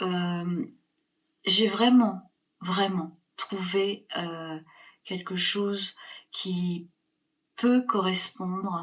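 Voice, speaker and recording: A woman's voice sits at a medium pitch. She talks very slowly. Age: 60s. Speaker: fitness program member. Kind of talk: testimony. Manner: hesitant, many fillers.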